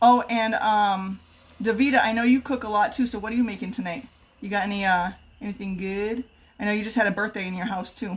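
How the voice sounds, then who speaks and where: A somewhat breathy woman at a fairly high pitch, very fast pace and fairly even intonation. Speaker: home cook and kitchenware consultant. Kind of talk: live cooking stream.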